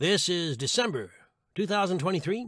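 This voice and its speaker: Lively intonation marks a man's voice with a high pitch. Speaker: audiobook narrator. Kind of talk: humorous blog read. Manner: comedic, wry.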